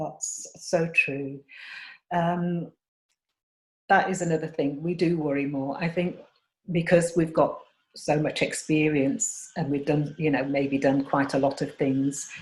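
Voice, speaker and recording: Somewhat breathy, a woman speaks in a very deep, low pitch at a fairly slow pace, with fairly even intonation and long, frequent pauses. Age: 60s. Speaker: chat show host. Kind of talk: casual chat.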